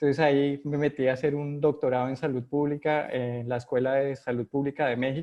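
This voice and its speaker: In a Colombian accent, a man talks with hardly any pauses, his fairly high voice held in a monotone, flat intonation. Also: fairly quick pace. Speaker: epidemiologist, vaccine research director. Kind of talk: video call interview. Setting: video call from home. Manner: halting, many fillers.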